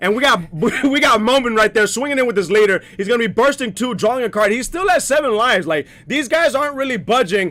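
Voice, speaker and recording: Animated and raised to project, the voice rushes at a very fast pace with lively intonation over noticeable background noise. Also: man, extremely high pitch for a man. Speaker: card game commentator. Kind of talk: live commentary.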